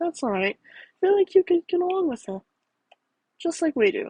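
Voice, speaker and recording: A woman uses a put-on character voice, squeaky and extremely high. She talks at a moderate pace. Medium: read story. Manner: calm, persuasive.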